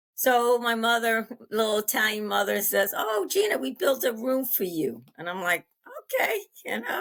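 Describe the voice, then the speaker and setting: Lively intonation marks this woman's fairly high voice as she speaks at a moderate pace with an American accent. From US Northeast, Long Island, New York. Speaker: interview guest sharing life story. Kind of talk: interview, personal testimony. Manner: halting, many fillers.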